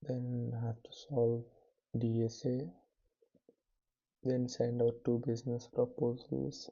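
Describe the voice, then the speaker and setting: Speaking at a very slow pace with long, frequent pauses, a man with a medium pitch and a somewhat breathy voice keeps his intonation fairly even while his loudness swings widely. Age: 20s. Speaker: vlogger, student entrepreneur. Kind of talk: casual vlog monologue. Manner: soft-spoken, quiet so as not to wake others; slow, hesitant with fillers.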